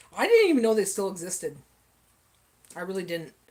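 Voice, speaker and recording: A woman with a Canadian accent, fairly quick in pace, with very wide pitch swings. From Canada. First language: French. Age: 40s. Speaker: livestream cooking host. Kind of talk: casual chat. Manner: animated.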